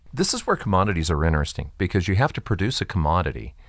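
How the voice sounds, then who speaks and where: A man's very deep, low voice with vocal fry, against a quiet background. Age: 60s. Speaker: investment commentary co-host. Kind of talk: casual chat.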